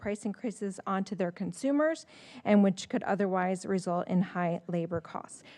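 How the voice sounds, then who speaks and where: The background is quiet. A woman speaks with a dark, mellow tone. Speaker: chamber of commerce representative at public comment. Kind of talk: reading aloud letters at public comment. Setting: town council meeting. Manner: fast.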